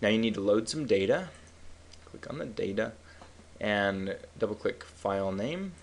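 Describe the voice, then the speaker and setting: Long, frequent pauses break up a man's speech, his fairly low pitch carrying lively intonation at a moderate pace. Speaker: statistics instructor. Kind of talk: software tutorial.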